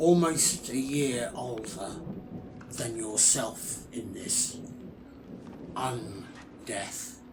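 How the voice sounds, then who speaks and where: A man's put-on character voice at a very slow pace, with long, frequent pauses and clear background noise. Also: medium pitch for a man. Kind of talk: ASMR character roleplay.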